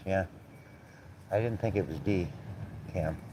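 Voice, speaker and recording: This is a man speaking with a dark, mellow tone. His pitch is very deep and low. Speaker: live streamer. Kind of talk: casual livestream chat. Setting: outdoors, windy. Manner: loud; blunt, outspoken.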